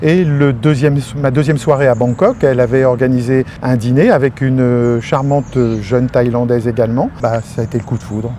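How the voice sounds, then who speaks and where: A man's medium-pitched voice at a fairly quick pace, with fairly even intonation and hardly any pauses. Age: 60s. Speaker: retired expatriate. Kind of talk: interview. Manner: halting.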